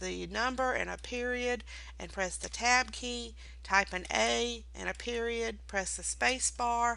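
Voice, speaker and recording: A woman speaks at a fairly slow pace. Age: 60s. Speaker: instructor. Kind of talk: tutorial. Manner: casual.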